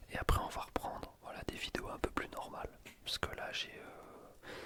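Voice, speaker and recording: Over noticeable background noise, the whispered words come at a fairly slow pace. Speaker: ASMR YouTuber, student. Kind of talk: casual talk to camera.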